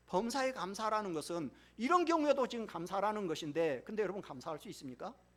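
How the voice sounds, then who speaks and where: Over noticeable background noise, a man talks very fast in a high voice, his pitch swinging very widely and his loudness rising and falling sharply. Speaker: pastor. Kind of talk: sermon.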